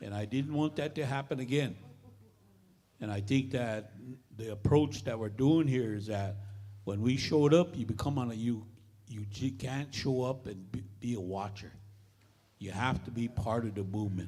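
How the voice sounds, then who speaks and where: A man with an American accent in a medium pitch, dark and mellow in tone, at a moderate pace with ordinary pitch variation and long, frequent pauses. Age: 70s. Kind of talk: meeting speech. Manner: halting.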